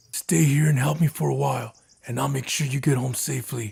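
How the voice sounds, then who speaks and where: Using a put-on character voice, a man talks at a fairly quick pace. His voice is raspy and sits at a medium pitch. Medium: read story. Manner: firm, terse.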